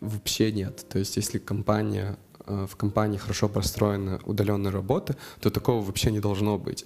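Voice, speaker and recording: A man talks at a moderate pace in a fairly low pitch, with a normal speaking voice. The recording is very clean, with a silent background. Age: 20s. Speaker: project manager. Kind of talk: personal account monologue.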